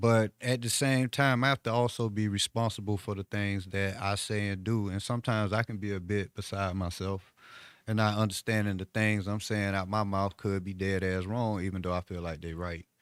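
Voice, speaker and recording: On a very clean recording with a silent background and a dry, close sound with no echo, a man with an American accent and an ordinary speaking voice speaks at a moderate pace and a fairly low pitch, with fairly even intonation and hardly any pauses. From South Florida, Miami area. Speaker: author. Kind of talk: casual chat.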